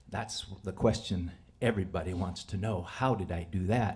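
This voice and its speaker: The man's pitch is very deep and low, and his voice is somewhat breathy. His intonation stays fairly even. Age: 70s. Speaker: storyteller, former teacher. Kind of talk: live storytelling. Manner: halting, many fillers.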